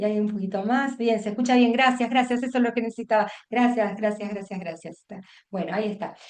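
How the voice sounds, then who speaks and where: Talking at a very fast pace, a woman keeps her intonation fairly even. Her voice is fairly high. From Buenos Aires province, Argentina. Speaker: teacher trainer, education consultant. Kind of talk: online workshop lecture. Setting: video call. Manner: halting, many fillers and restarts.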